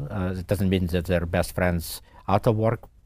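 Over a silent background in a very clean recording, a man talks at a fairly quick pace in a very deep, low, somewhat breathy voice with a dark, mellow tone and fairly even intonation. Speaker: tech company CEO. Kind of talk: casual interview chat. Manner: hesitant, many fillers.

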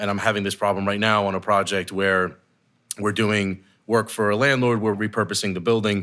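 A man talks at a fairly quick pace in a monotone, flat delivery, his fairly low voice bright and sharp in tone, recorded very cleanly against a silent background. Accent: American. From New Jersey. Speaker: construction company executive. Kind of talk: podcast interview. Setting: office boardroom.

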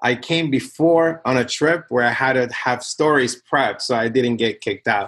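In a Spanish accent, a man talks at a moderate pace with medium pitch and ordinary pitch variation against a quiet background. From Nicaragua. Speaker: tech company CTO and co-founder. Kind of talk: casual interview conversation. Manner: intense, aggressive.

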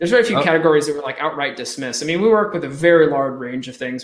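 A man with an American accent at a very fast pace, with ordinary pitch variation. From Eastern Pennsylvania, Allentown/Bethlehem area. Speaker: Amazon advertising agency founder. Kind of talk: podcast interview.

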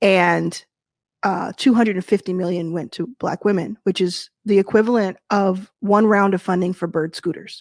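With an American accent, a woman with an unremarkable speaking voice talks at a moderate pace in a medium pitch with fairly even intonation, in a dry, close sound with no echo. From Texas (Dallas). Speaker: venture capital investor and founder. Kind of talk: interview at a virtual event. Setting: virtual event, video call.

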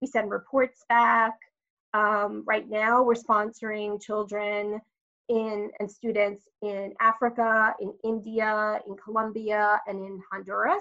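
A woman's fairly high, bright, sharp voice, very slow and monotone, with big swings in loudness against a quiet background. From Long Island, New York. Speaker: marketing executive. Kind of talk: interview.

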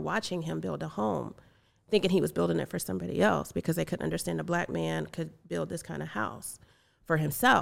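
Recorded very cleanly against a silent background, a woman speaks with an American accent. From US South, rural North Carolina. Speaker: logistics company CEO. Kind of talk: casual interview chat. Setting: studio.

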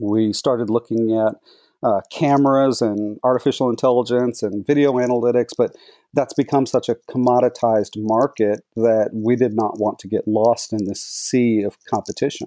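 At a medium pitch and moderate pace, a man speaks with a dark, mellow tone and fairly even intonation, the sound dry and close with no echo. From Texas, Dallas-Fort Worth. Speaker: tech company executive. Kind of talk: casual interview.

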